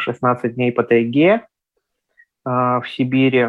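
Here a man talks. His voice holds a medium pitch. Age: 20s. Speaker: blind traveller and travel blogger. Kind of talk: interview.

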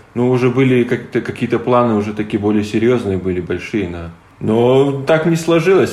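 A man's medium-pitched voice at a moderate pace, ordinary pitch variation, audible room echo and noticeable background noise. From Latvia, Latgale (Livani). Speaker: wheelchair basketball player. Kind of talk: interview.

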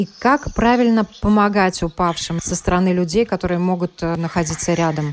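Against music in the background, a woman talks at a moderate pace in a medium pitch with ordinary pitch variation. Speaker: radio health show host. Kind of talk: news reading.

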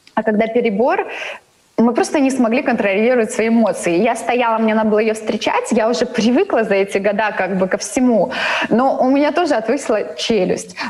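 Against noticeable background noise, a woman speaks at very even loudness with ordinary pitch variation. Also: fairly high pitch for a woman, moderate pace. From Latvia, Daugavpils. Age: 30s. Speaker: cosmetologist and beauty salon owner. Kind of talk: interview. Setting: video call.

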